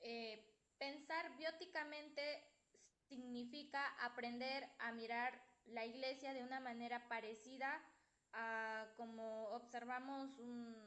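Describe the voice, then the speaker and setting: Bright and sharp in tone, a woman speaks with a high pitch and fairly even intonation. Her pace is very slow. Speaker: student presenting in class. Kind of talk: class presentation. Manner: soft-spoken. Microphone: too quiet, no headphones.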